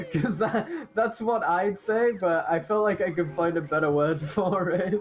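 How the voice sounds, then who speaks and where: Noticeable background noise runs under speech at a fairly slow pace. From Britain. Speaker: speedrun commentator. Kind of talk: live commentary. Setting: commentary booth.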